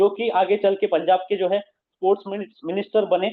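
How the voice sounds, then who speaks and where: A man speaks at a moderate pace. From Maharashtra, India. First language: Marathi (speaking Hindi). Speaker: business presenter. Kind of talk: motivational talk. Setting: video call.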